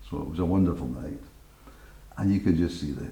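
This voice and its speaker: A man speaks in a Glaswegian accent with a very deep, low pitch. Audible room echo surrounds his voice. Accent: Glaswegian Scottish. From Scotland, Glasgow. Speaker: radio presenter. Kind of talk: interview storytelling.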